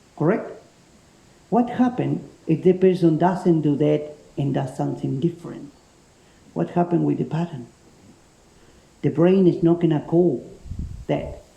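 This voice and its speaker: A man speaks with a strong Spanish accent at a fairly slow pace. Long pauses come often. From Spain. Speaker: self-defence instructor, ex special forces paratrooper. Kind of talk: seminar talk to a class.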